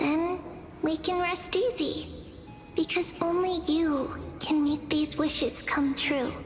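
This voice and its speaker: A put-on character voice at an extremely high pitch and a fairly slow pace, over clear background noise. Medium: machinima. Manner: warm, affectionate, laughing.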